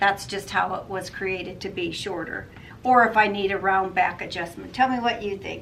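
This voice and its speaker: In a room with audible echo, a woman speaks at a medium pitch with ordinary pitch variation. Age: 60s. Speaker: sewing vlogger. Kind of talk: casual product review. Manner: casual, hesitant with fillers.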